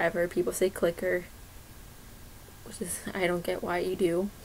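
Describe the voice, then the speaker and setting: Here a woman speaks with an American accent at medium pitch. Her pace is moderate. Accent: slight Iowa accent, noticed only sometimes. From Iowa, US Midwest. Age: 20s. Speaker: YouTuber, grocery store worker. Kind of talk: casual vlog, answering questionnaire. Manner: hesitant, many fillers (um).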